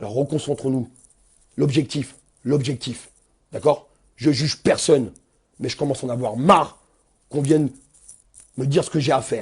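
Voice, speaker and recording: With an animated tone and big swings in loudness, a man talks at a moderate pace and a fairly high pitch, leaving long, frequent pauses. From Seine-Saint-Denis, Paris suburbs, France. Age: 40s. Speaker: protest activist. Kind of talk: angry live video rant.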